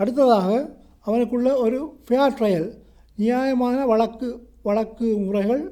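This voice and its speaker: With a Sri Lankan accent, a man speaks at a high pitch in a dark, mellow tone with fairly even intonation. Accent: Sri Lankan Tamil. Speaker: solicitor and law lecturer. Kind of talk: educational law lecture.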